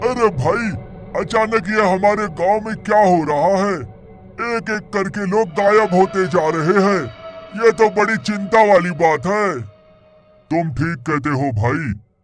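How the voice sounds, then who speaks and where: A man performs a cartoonish character voice at a fairly slow pace. Faint music plays in the background. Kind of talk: cartoon character dialogue.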